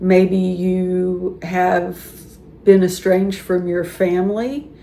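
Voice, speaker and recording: Speaking very slowly, a woman has an American accent. There is audible room echo and noticeable background noise. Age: 60s. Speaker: YouTuber talking about life and aging. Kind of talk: casual monologue to camera. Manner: conversational, with some repetition and false starts.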